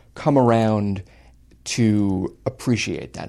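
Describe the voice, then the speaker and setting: In a very clean recording with a silent background, a man speaks very slowly. He has an American accent. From Long Island, New York. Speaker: writer. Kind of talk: casual chat.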